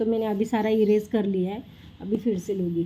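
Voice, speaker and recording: A woman's voice, dark and mellow in tone, moves at a moderate pace. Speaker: mother and family vlogger. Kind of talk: tutoring a child at home, vlog. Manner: loud.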